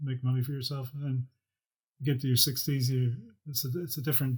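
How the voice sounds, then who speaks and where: Very fast and monotone, a man speaks in a Northern Irish accent at a medium pitch. His tone is dark and mellow, and somewhat breathy. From Northern Ireland. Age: 60s. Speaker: property developer. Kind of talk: interview answer.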